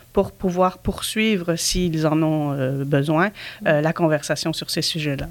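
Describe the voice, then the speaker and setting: A woman with an ordinary speaking voice talks at a fairly slow pace with fairly even intonation. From Belgium. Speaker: nonprofit director. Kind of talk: casual interview.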